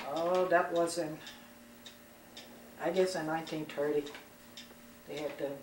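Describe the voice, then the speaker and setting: Someone with an American accent speaks in a monotone, flat intonation amid noticeable background noise and audible room echo. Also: woman. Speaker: interviewee. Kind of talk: family interview. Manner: halting.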